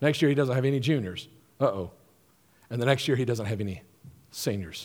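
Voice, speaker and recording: Medium-pitched male speech in a Southern US accent, fairly quick and full of lively intonation, with audible room echo. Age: 50s. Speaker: pastor. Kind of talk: sermon.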